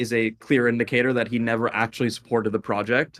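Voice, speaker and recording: Recorded very cleanly against a silent background, a man speaks at a fairly quick pace and a medium pitch. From Indian heritage. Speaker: crypto founder. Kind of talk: casual interview.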